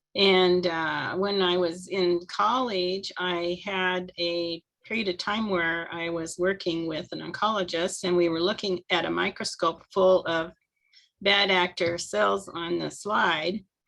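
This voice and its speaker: The speaker talks at a fairly slow pace with a monotone, flat intonation and an American accent. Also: woman, fairly low pitch for a woman. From US Midwest, Nebraska. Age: 70s. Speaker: network marketer, retired medical technologist. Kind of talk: personal testimony.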